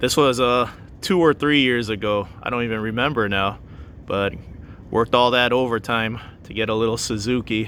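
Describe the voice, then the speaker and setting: A man speaks at medium pitch with fairly even intonation. His pace is moderate. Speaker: van-life vlogger. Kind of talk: casual vlog talk while driving. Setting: in a car. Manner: loud.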